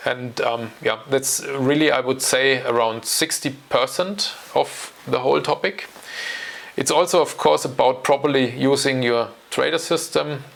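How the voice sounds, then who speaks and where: A man with a German accent at very even loudness, amid noticeable background noise. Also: fairly high pitch for a man, ordinary pitch variation. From Germany. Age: 40s. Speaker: options trading educator. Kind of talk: channel introduction talk. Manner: hesitant, with fillers.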